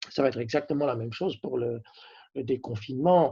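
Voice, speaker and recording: The voice is somewhat breathy and moves at a moderate pace with ordinary pitch variation. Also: man. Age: 60s. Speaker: company CEO. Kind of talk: interview. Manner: halting, many hesitations.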